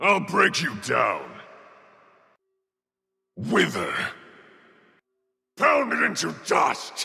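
A man's raspy, put-on character voice at a very slow pace, with long, frequent pauses. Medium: video game. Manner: forceful, aggressive battle shouts.

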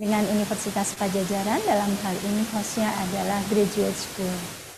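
Against noticeable background noise, a woman with a medium pitch speaks in a somewhat breathy voice. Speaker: moderator and dean. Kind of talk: event moderation. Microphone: webcam.

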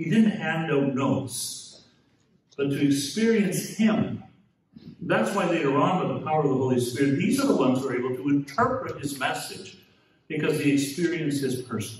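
In a room with audible echo, a man speaks at a moderate pace with lively intonation. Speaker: speaker. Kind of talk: address to an audience. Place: hall. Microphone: camera far.

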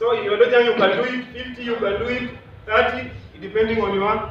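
With light background noise and audible room echo, a man talks at a moderate pace in an extremely high pitch. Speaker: martial arts instructor. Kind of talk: exercise instruction and counting. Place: hall. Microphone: camera far.

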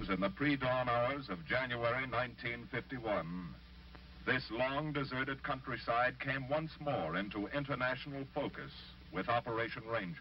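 Amid noticeable background noise, a man speaks at medium pitch and a fairly slow pace, with ordinary pitch variation and very even loudness. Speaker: film narrator. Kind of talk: 1950s documentary narration, scripted. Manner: formal, earnest, measured.

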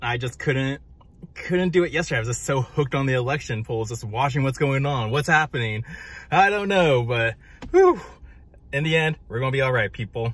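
At a fairly quick pace, a man speaks with ordinary pitch variation and a dry sound with no echo. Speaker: vlogger. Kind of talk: casual vlog chat. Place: car. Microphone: phone near.

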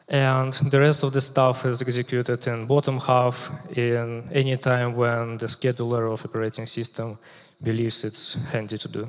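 Against a quiet background, the speaker talks at a moderate pace in a flat monotone. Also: man. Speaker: software engineer, conference speaker. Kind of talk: technical conference talk. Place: stage. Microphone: headset.

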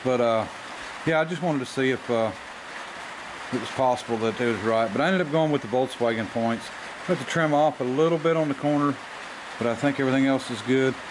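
Noticeable noise fills the background while a man speaks very fast. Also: ordinary pitch variation. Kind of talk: casual workshop tutorial. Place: workshop. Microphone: camera far.

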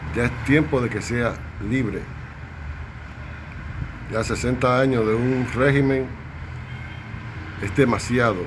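Over clear background noise, a man speaks slowly at a medium pitch with ordinary pitch variation and long, frequent pauses.

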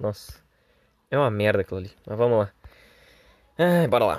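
In a very clean recording with a silent background and a dry, close sound with no echo, a man talks very fast in an animated tone with lively intonation. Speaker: gaming youtuber. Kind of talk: gameplay commentary. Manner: casual, animated.

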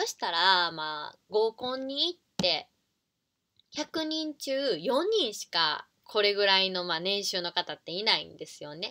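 A woman with a bright, sharp tone reads at a fairly slow pace, her pitch swinging very widely and her loudness rising and falling in big swings. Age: 30s. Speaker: online business coach and YouTuber; online business coach. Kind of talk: casual talk to camera. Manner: informal with many fillers. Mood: friendly, smiling. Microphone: webcam.

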